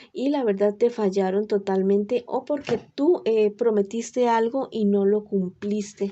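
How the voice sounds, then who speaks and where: Soft-spoken and with hardly any pauses, a woman talks at a fairly slow pace with a fairly high pitch and ordinary pitch variation. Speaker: tarot reader. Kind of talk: tarot reading.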